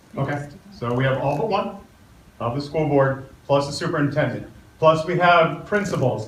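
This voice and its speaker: A man with an American accent talks at a moderate pace. The room echo is audible, and background noise is noticeable. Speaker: community meeting moderator. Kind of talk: public meeting introductions and Q&A moderation.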